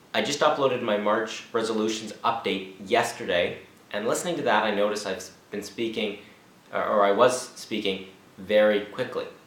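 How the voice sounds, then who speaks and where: There is noticeable background noise and audible room echo around a man speaking at a fairly low pitch. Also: fairly even intonation, moderate pace. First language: not Czech (learning it). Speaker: language learner vlogger. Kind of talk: casual vlog monologue.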